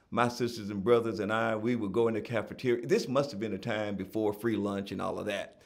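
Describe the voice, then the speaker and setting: A man talks at medium pitch with a Southern US accent. Audible room echo surrounds his voice. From Tennessee (Gallatin). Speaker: author and nonprofit founder. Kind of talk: interview.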